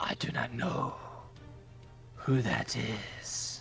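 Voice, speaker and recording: In a put-on character voice, a man growls and whispers over faint music in the background. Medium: actual play. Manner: slow, menacing, mock-hospitable.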